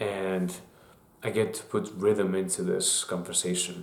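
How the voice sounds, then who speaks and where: A man with a non-native accent speaks in a very deep, low pitch with monotone, flat intonation, and the room echo is audible. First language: not English. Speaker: YouTuber. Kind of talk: casual monologue. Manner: halting, with fillers and restarts.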